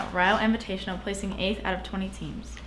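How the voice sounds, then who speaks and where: A woman talks at a fairly quick pace, with light background noise behind her. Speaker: student sports news anchor. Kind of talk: news reading. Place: studio.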